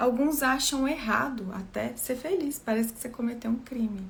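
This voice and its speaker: The speaker is soft-spoken, with ordinary pitch variation. Noticeable background noise can be heard. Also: woman. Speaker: therapist trainer. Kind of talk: live talk.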